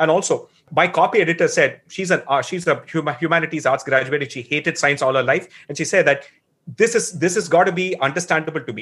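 A man with a Tamil accent speaks at a very fast pace in a high voice, with ordinary pitch variation, big swings in loudness, and a quiet background. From Tamil Nadu, India. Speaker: author and blogger. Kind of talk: interview about a book, casual explanation.

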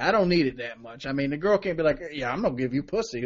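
A man at a very fast pace with very wide pitch swings. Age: 20s. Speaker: podcast co-host. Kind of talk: casual chat.

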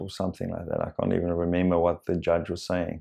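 In a South African accent, a man speaks with a very deep, low pitch. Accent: Afrikaans-accented English. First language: Afrikaans. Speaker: coach and therapist. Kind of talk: unscripted personal monologue. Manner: halting, many fillers.

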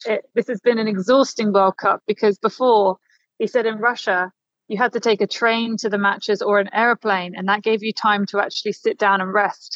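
A woman's normal speaking voice, fairly high in pitch, with fairly even intonation at a moderate pace in a dry, close sound with no echo. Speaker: journalist reporting from Doha. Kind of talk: casual interview chat. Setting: remote interview from Qatar.

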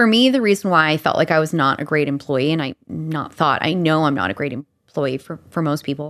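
In a slight Albertan accent, a woman speaks with a very deep, low pitch. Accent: slight Alberta Canadian. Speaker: leadership coach. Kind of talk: casual chat.

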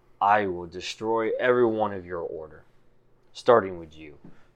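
Using a put-on character voice, a man speaks at a moderate pace with a fairly low pitch. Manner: menacing, threatening.

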